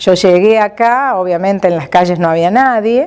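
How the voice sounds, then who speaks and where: Talking at a moderate speed, a woman with an unremarkable speaking voice uses lively intonation. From Argentina, Córdoba province (Las Varillas). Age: 60s. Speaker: retired administrative worker. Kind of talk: life story interview.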